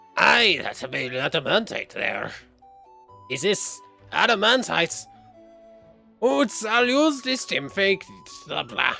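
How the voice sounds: Over faint music in the background, a man does a high, put-on character voice at a fairly slow pace.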